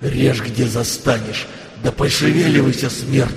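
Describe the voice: Plain reading aloud comes with fairly even intonation.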